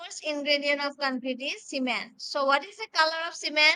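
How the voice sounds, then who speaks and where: This woman's voice sits high, with a bright, sharp tone. Her pitch varies in an ordinary way. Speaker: civil engineering lecturer. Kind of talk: online lecture. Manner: soft-spoken.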